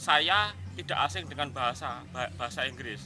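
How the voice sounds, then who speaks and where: A man moves at a fairly quick pace, his pitch swinging very widely, with noticeable background noise around him. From West Java (Cirebon). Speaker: language course student. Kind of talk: testimonial.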